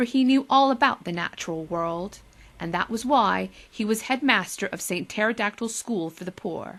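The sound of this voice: Lively intonation from an unforced reading voice.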